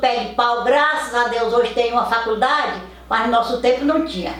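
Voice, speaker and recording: A woman with a high pitch speaks at a moderate pace and with fairly even intonation, amid audible room echo and noticeable background noise. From Brazil, Piauí. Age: 80s+. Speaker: elderly family matriarch interviewee. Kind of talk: life story interview. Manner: halting.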